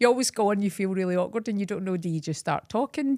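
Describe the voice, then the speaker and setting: A Scottish accent with lively intonation, in a dry, close sound with no echo and a very clean recording with a silent background. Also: woman. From Scotland. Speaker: beauty salon owner, podcast co-host. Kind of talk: casual chat. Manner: fast.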